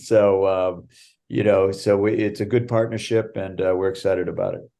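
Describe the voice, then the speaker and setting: Against a quiet background, a man with an American accent talks in a dark, mellow tone. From Boston area, Massachusetts. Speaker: ski area general manager, former extreme skier. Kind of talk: interview.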